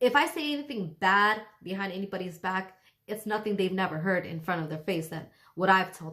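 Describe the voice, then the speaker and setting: A woman with a medium pitch speaks fast-ish, at a fairly quick pace, in a bright, sharp and animated tone. Her intonation is lively and her loudness swings widely. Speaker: spiritual advice vlogger. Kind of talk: casual monologue vlog. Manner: animated, hesitant fillers.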